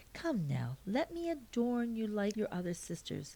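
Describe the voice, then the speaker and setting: A woman puts on a character voice with very wide pitch swings. Her pitch is fairly high and her pace moderate. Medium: read story. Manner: firm, matter-of-fact.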